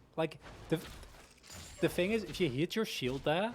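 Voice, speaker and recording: This is a man speaking. He has a Dutch accent. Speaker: esports caster. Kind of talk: live commentary. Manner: animated.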